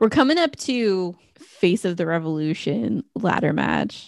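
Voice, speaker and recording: A soft-spoken woman talks at a fairly slow pace and a fairly low pitch. Her pitch swings very widely. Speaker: wrestling podcast co-host. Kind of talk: casual chat. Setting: remote recording over internet.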